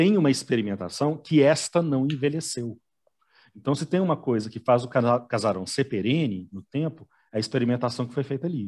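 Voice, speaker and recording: A man with an unremarkable speaking voice talks at a moderate pace in a medium pitch, with lively intonation and big swings in loudness against a quiet background. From Belo Horizonte, Brazil. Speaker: telenovela commentator. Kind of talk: casual chat.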